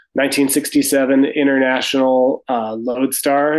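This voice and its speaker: This man speaks at a medium pitch with an American accent and monotone, flat intonation. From US Midwest, Sioux Falls, South Dakota. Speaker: carpenter and retreat owner. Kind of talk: interview.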